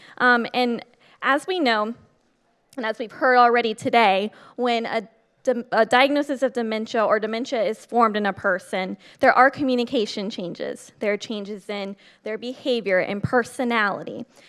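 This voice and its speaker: Her voice fairly high and animated with ordinary pitch variation, a woman speaks at a moderate pace in a very clean recording with a silent background. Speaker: state program coordinator. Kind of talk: conference talk. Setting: stage with audience.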